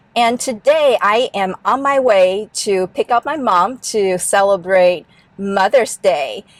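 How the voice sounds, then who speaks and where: Very slow speech in a Chinese accent, with ordinary pitch variation and a dry, close sound with no echo. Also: woman, medium pitch for a woman. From Taiwan. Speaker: car owner vlogger. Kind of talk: vlog tutorial.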